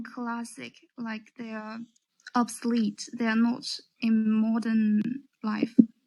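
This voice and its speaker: The speaker has a Chinese accent. The pace is very slow. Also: woman. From China. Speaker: caller, English learner. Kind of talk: casual chat.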